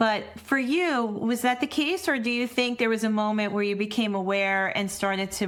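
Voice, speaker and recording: The pace is moderate and the pitch variation ordinary. This is an ordinary speaking voice. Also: woman. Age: 50s. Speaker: podcast host and women's leadership coach. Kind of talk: podcast interview conversation.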